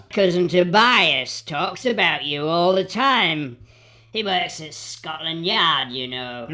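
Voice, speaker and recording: A woman's put-on character voice, fairly low in pitch, with lively intonation and a fairly slow pace. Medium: audio drama.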